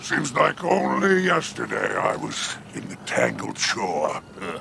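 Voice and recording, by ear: Slowly and in a put-on character voice, a man of medium pitch makes very wide pitch swings with vocal fry and a bright, sharp tone over faint background noise.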